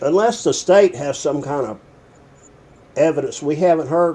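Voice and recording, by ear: A man with a Southern US accent, dark and mellow in tone, at a fairly slow pace with ordinary pitch variation. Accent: Southern American.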